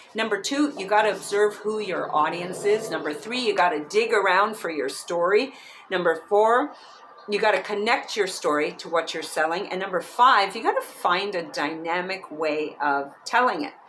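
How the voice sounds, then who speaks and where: Her delivery has lively intonation at a medium pitch and a moderate pace. The woman is heard over noticeable background noise. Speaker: author and public speaking coach. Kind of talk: audiobook-style reading by the author with casual, chatty asides. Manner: lively, humorous, conversational.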